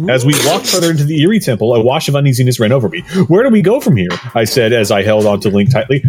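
The reading here is done in an unforced voice.

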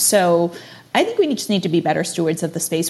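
A woman's somewhat breathy voice at a medium pitch and a fairly quick pace. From immigrant family, moved to US at age six. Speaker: digital marketing executive and NFT space host. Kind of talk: interview conversation.

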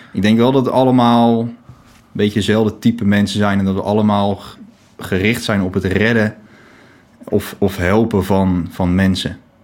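A man with an unremarkable speaking voice and a fairly low pitch keeps his intonation fairly even at a moderate pace. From The Hague (Scheveningen), Netherlands. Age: 20s. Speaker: volunteer lifeboat crew member.

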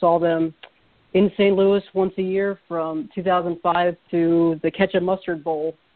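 A man with an American accent and a high pitch speaks at a fairly slow pace with little pitch movement.

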